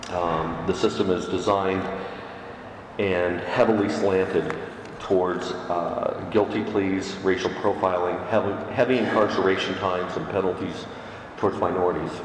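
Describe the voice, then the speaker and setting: Amid noticeable background noise and audible room echo, a man speaks at a moderate pace in a very deep, low voice with monotone, flat intonation. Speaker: Unitarian Universalist minister. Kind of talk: sermon.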